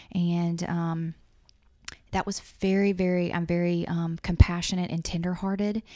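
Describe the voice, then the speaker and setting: A woman speaks with a Southern US accent in a fairly low pitch. Her tone is dark and mellow, and her intonation is monotone and flat. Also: moderate pace. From Louisiana. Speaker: insurance agent. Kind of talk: casual chat. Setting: office.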